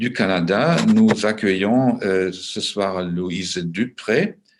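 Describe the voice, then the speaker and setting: A man speaks with a German accent. His pitch is fairly low. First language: German (speaking French). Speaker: moderator and translator. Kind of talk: panel discussion moderation. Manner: slow, halting with many hesitations.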